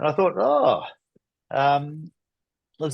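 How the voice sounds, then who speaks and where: Against a quiet background, a man with a New Zealand accent talks at a fairly slow pace with lively intonation. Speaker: stamp collecting society president. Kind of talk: presentation. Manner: halting.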